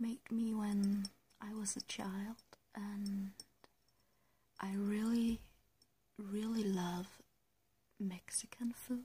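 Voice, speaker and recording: Soft-spoken and very slow, a woman talks with a Danish accent at a medium pitch. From Denmark. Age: 20s. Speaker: ASMR creator. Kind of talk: ASMR soft-spoken Q&A tag video. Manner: hesitant.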